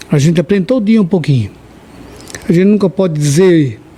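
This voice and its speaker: Behind this man's speech, background noise is noticeable. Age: 60s. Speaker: religious podcast guest. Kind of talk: podcast interview.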